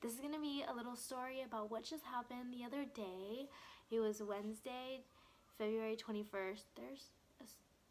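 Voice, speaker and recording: Loud and fairly quick, a woman speaks at a high pitch with fairly even intonation. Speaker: vlogger. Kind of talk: storytime vlog.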